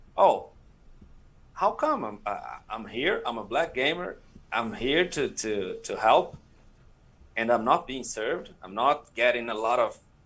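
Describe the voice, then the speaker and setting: A man in a Portuguese accent, fairly slow, with long, frequent pauses. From Brazil. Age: 30s. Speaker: streaming community leader. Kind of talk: panel interview. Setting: live stream. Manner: halting.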